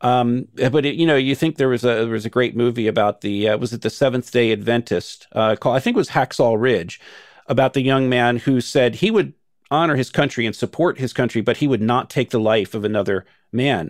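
A man with an American accent, a plain, everyday voice, medium pitch, ordinary pitch variation and a fairly quick pace. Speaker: former cult member and whistleblower. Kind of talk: interview.

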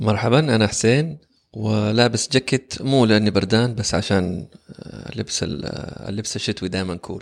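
In an ordinary speaking voice, a man talks at a fairly slow pace and fairly low pitch with ordinary pitch variation. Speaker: voice-over artist and public speaking coach. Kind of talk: casual interview chat.

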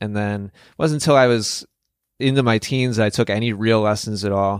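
A man with an American accent speaks in an unremarkable speaking voice at medium pitch and a moderate pace. His intonation is fairly even, and the recording is very clean with a silent background. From US Midwest, Wisconsin. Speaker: tennis coach and online instructor. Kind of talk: interview.

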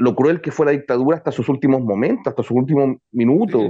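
A man is speaking. His pace is very fast. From Chile. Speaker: journalist and podcast producer. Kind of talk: interview.

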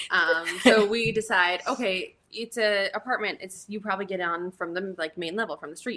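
A woman speaks at a medium pitch and moderate pace, with ordinary pitch variation and hardly any pauses. Noticeable background noise runs underneath. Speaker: host's best friend. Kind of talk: casual chat.

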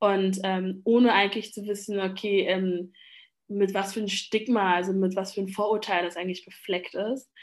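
Against a quiet background, a woman speaks at medium pitch and a moderate pace with monotone, flat intonation. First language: Lingala (speaking German). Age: 20s. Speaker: after-school educator. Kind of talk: interview. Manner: hesitant with many fillers.

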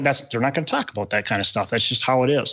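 This man has a normal speaking voice, fairly high in pitch with ordinary pitch variation. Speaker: real estate investor, former teacher. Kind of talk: podcast interview.

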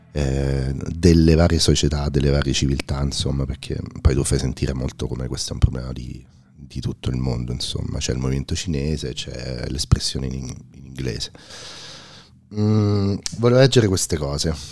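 A quiet man speaks in a very deep, low pitch with ordinary pitch variation. Noticeable background noise can be heard. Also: moderate pace, big swings in loudness. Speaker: podcast host. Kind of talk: casual interview conversation. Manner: very quiet, low voice.

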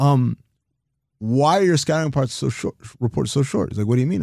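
A man talks at a very fast pace with lively intonation and a dark, mellow tone. The recording is very clean, its background silent. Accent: American. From Sudan and New York. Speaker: basketball analyst. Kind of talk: interview.

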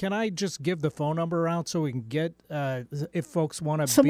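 Here is a man with an ordinary speaking voice, fairly high in pitch. His pitch varies normally and his pace is moderate. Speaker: radio show producer or co-host. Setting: radio studio.

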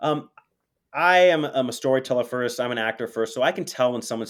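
On a very clean recording with a silent background, a man talks very fast in an energetic tone with ordinary pitch variation. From US West Coast, Los Angeles. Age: young. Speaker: college theater program director and teacher. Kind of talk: casual interview. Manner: halting with repeated words.

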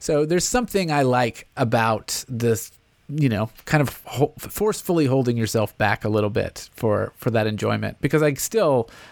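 With an American accent, a man in an ordinary speaking voice talks at a moderate pace and medium pitch, with very even loudness and hardly any pauses, in a very clean recording with a silent background. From US South, Nashville. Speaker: podcast host. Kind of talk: casual interview.

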